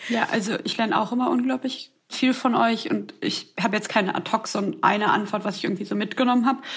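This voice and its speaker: A woman's fairly high voice at a very fast pace, with hardly any pauses. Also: ordinary pitch variation. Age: 20s. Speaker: podcast co-host, student. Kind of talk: casual chat.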